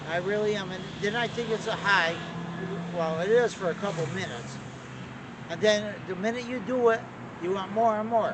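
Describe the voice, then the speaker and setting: A man with an American accent speaks in a high voice with ordinary pitch variation and long, frequent pauses. His words carry an audible room echo amid noticeable background noise. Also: moderate pace. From Connecticut, Torrington. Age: 60s. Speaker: person struggling with addiction. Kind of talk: interview.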